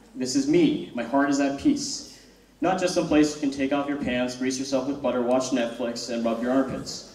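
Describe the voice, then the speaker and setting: There is audible room echo around a man speaking at a fairly slow pace. His intonation is lively. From United States. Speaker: student comedian. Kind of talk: stand-up. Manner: halting.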